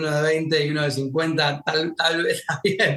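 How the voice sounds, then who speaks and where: Speaking at a moderate pace in a Rioplatense accent, the voice has a bright, sharp tone. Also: man. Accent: Argentine Rioplatense Spanish. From Argentina. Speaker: war journalist. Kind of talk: podcast interview.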